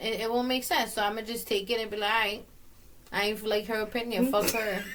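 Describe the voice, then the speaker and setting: A woman speaks at a fairly quick pace in a fairly high pitch, her intonation monotone and flat, with audible room echo. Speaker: podcast co-host. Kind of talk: casual chat. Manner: loud.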